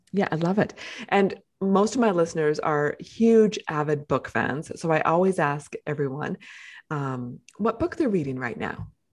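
This woman has an ordinary speaking voice, pitched fairly low. She talks at a fairly slow pace with lively intonation. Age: 50s. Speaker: podcast host. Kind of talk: interview.

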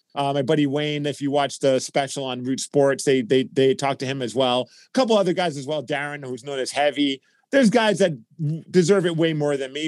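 A man with an American accent talks at a very fast pace in a fairly high pitch, with ordinary pitch variation and a dry, close sound that has no echo. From Brooklyn, New York. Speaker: radio personality.

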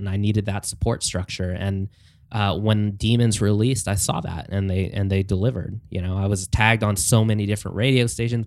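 In an ordinary speaking voice, a man with a fairly low pitch talks at a fairly quick pace with fairly even intonation on a very clean recording with a silent background. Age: 30s. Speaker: pop-punk musician. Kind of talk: casual chat. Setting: studio.

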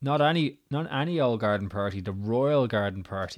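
A man is speaking here. He has a Dublin accent. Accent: Irish, Dublin area.

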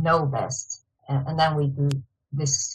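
A woman with a very deep, low pitch speaks in a flat monotone, her voice somewhat breathy. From China, Shanghai. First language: Mandarin Chinese. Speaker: field applications engineer. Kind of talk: interview. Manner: halting with fillers.

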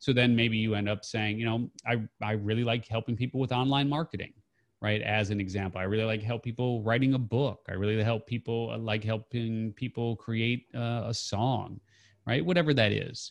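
Recorded dry and close with no echo, a man has an ordinary speaking voice at medium pitch. He keeps a moderate pace and fairly even intonation. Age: 50s. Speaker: entrepreneur and author. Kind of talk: interview. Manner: casual, uses many fillers.

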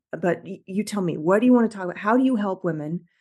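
A woman talking at a very fast pace with lively intonation over a quiet background. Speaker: podcast host and executive coach. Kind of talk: casual interview.

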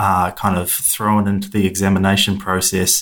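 A man at a moderate pace, fairly low in pitch, with a fairly bright tone.

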